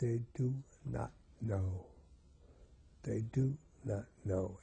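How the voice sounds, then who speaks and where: Somewhat breathy and dark, mellow in tone, a man's voice sits at medium pitch with ordinary pitch variation. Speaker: terminally ill professor. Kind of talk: interview.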